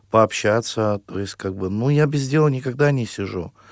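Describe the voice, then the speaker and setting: This man talks with ordinary pitch variation. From Russia, Perm region. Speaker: singer. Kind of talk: radio interview. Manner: halting.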